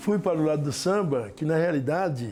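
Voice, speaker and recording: A man's dark, mellow voice, pitched fairly high. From Brazil, São Paulo state (Lavínia). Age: 70s. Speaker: samba school master. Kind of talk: documentary interview.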